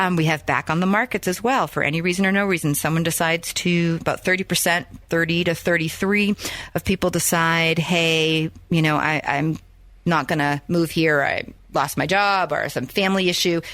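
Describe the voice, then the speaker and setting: On a very clean recording with a silent background, a woman speaks at a fairly low pitch for a woman, with fairly even intonation and very even loudness. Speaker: radio show host and realtor. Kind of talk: radio show monologue. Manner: fast.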